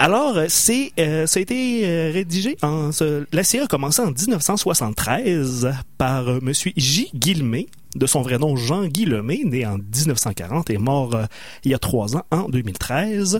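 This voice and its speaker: On a very clean recording with a silent background, a man with a fairly high, somewhat breathy voice talks at a very slow pace with very wide pitch swings. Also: very even loudness. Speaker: radio co-host. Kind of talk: casual chat.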